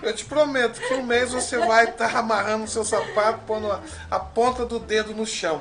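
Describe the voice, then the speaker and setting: A man's raised, projected voice at an extremely high pitch, over noticeable background noise. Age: 50s. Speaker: judo teacher. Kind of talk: interview.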